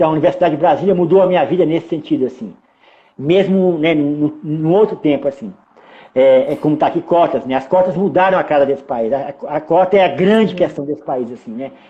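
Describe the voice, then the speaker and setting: A man talks at a fairly quick pace in a fairly high pitch, with ordinary pitch variation. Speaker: filmmaker. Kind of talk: interview. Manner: fast; clipped words.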